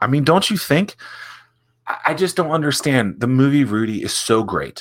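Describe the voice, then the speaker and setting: This is a man speaking. He has an American accent. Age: 30s. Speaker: author reading his own book as a podcast. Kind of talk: reading aloud with casual asides. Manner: casual, joking.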